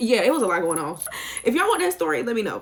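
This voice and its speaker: A woman talks with an American accent. There is noticeable background noise. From US South, Sumter, South Carolina. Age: 20s. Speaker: YouTuber. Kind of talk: casual chat. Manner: chatty, talkative.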